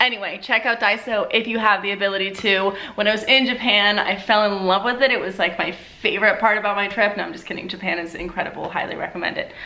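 A woman talks at a very fast pace with fairly even intonation. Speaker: lifestyle vlogger. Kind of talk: casual vlog chat. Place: home room.

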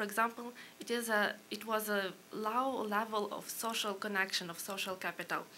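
In a Ukrainian accent, the speaker keeps a moderate pace with monotone, flat intonation over light background noise. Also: woman. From Ukraine. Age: young. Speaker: policy analyst. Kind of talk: panel presentation. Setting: stage with audience. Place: hall. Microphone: podium.

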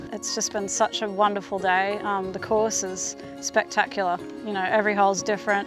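A woman at a moderate pace, in a dry sound with no echo, with clear music in the background. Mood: cheerful, laughing banter. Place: open country. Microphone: lapel.

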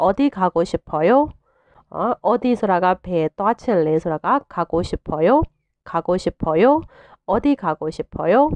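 A woman with a Burmese accent speaks at a very slow pace with very wide pitch swings. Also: medium pitch for a woman. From Myanmar. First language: Burmese (speaking Korean). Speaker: language teacher. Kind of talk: tutorial. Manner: slow, repetitive drilling of phrases.

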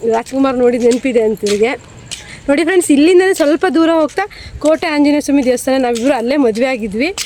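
Through noticeable background noise, a woman speaks in a high voice with lively intonation. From Karnataka, Shivamogga district (Anandapura). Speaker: tailor and tailoring video creator. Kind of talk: vlog walk-and-talk. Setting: outdoors at railway station.

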